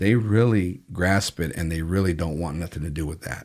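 A man is talking at a moderate pace. His pitch variation is ordinary. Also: very clean recording, silent background. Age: 50s. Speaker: prison ministry founder. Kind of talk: testimony. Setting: studio. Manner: halting.

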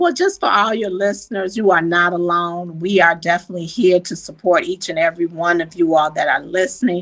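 This is an unremarkable speaking voice, moving at a fairly quick pace with hardly any pauses and fairly even intonation. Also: woman, fairly low pitch for a woman. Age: 60s. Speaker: health coach and family caregiver. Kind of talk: casual chat.

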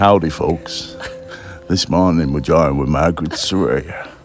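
A man's gruff, put-on character voice with a very deep, low pitch at a moderate pace over clear music in the background. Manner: playful, joking.

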